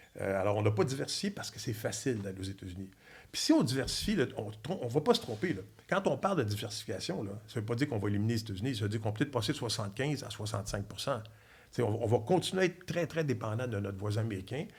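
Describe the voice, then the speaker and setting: Speaking at a very fast pace, a man sounds somewhat breathy, with an animated tone and lively intonation. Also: medium pitch for a man. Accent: Quebec. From Quebec, Trois-Rivières. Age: 60s. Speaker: former diplomat and energy expert. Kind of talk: podcast interview.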